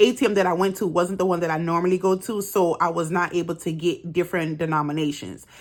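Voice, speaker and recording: With a plain, everyday voice, a woman talks at a fairly quick pace, her fairly low pitch held in fairly even intonation. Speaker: budgeting vlogger. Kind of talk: casual tutorial. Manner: casual, many fillers.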